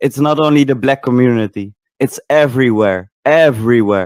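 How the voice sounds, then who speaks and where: Moderate pace with ordinary pitch variation, a non-native accent, and a dry, close sound with no echo. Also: man. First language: not English. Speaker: participant in online voice chat. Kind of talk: casual debate chat. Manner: halting, with self-corrections.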